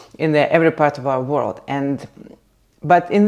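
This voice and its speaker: A woman's dark, mellow voice with a Russian accent. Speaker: content creator. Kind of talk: casual vlog chat. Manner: halting, many fillers.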